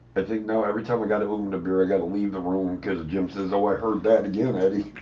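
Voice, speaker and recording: At a very fast pace, a man speaks in a fairly low pitch with monotone, flat intonation amid noticeable background noise. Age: old. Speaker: livestream co-host. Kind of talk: casual chat. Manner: loud-sounding.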